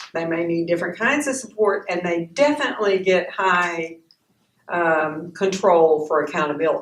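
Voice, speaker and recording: A woman with a fairly low pitch speaks at a moderate pace. Her intonation is lively, and room echo is audible. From Texas. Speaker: workshop facilitator, counselor. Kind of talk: workshop lecture. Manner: casual, with many fillers.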